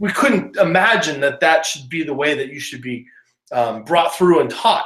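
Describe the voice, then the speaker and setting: An energetic man's voice with very wide pitch swings. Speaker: online business course presenter. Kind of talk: webinar presentation.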